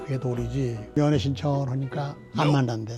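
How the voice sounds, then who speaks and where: There is music in the background as a man talks at a moderate pace. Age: 90s. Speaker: retired government minister. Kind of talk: storytelling reminiscence. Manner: conversational, somewhat halting.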